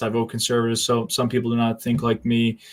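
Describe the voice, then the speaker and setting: This man speaks at a very fast pace with a slight New England accent. His pitch sits at a medium level. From US Northeast, southern New Hampshire. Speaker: live stream host. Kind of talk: casual live-stream interview chat.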